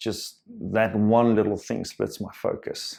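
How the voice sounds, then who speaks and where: The speaker is a man with a South African accent. He talks at a very slow pace. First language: Afrikaans. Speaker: self-help vlogger. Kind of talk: personal reflective monologue. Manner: halting, many fillers and repetitions.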